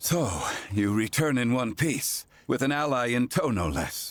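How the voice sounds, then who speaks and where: The speaker is a man doing a put-on character voice. It sits at a medium pitch. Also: moderate pace. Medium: video game. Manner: curt, archaic phrasing.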